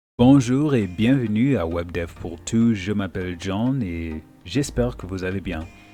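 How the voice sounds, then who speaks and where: A man speaks at a very slow pace in a very deep, low pitch. Music plays in the background. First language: not French (speaking French). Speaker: web development teacher. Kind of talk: tutorial. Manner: hesitant, many fillers.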